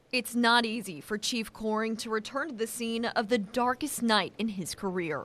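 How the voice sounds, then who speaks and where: A woman with a fairly high pitch and a normal speaking voice talks at a moderate pace with ordinary pitch variation and hardly any pauses. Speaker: TV news reporter and anchor. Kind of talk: TV news report.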